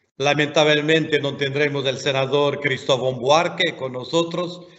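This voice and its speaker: Speaking with a non-native accent, a man uses a fairly high voice and fairly even intonation. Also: fairly slow pace. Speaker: education commission member. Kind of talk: webinar talk.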